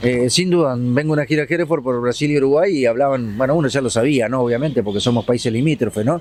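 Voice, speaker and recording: A man with an Entre Ríos Argentine accent talks at a very fast pace with hardly any pauses. His pitch is medium, with ordinary pitch variation and very even loudness. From Argentina, Gualeguaychú, Entre Ríos. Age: 60s. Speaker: TV news host. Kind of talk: interview.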